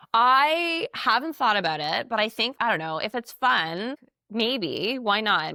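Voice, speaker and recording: A loud woman's voice, bright and sharp in tone, dry and close with no echo, on a very clean recording with a silent background. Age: 40s. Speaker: television host and podcast host. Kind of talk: casual chat. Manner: talkative, nonstop.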